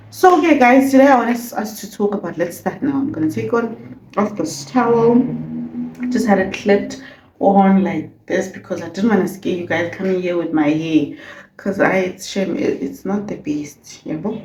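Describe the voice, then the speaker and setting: Very wide pitch swings at a moderate pace, with noticeable background noise and audible room echo. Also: woman, medium pitch for a woman. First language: not English. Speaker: beauty vlogger. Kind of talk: casual vlog chat.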